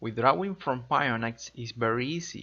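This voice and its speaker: Fairly slow delivery in a Spanish accent, with ordinary pitch variation. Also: man. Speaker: crypto tutorial youtuber. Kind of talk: tutorial.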